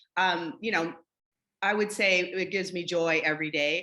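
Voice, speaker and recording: With an American accent, a woman uses a fairly low pitch and a bright, sharp tone, speaking at a moderate pace with fairly even intonation. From Michigan. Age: 60s. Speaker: dance company director. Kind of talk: interview.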